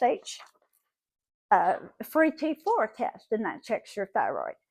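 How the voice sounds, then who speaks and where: With a high voice, an animated tone and a Southern US accent, a woman talks at a fairly slow pace in a dry, close sound with no echo. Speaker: vlogger. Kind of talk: casual monologue.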